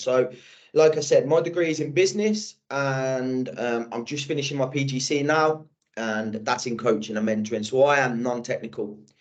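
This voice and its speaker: A man with an English accent, medium in pitch, at a moderate pace, with ordinary pitch variation. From England, Birmingham. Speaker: sales manager. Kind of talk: podcast interview. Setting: video podcast. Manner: casual, with frequent fillers and repetitions.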